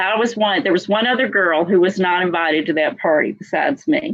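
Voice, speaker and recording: A woman with an American accent, medium in pitch with very wide pitch swings, at a moderate pace. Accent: Texas accent, some think it thick. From South Carolina, then Texas (Dallas) from age 13. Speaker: motivational speaker's daughter, guest. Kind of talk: interview storytelling. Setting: live video stream.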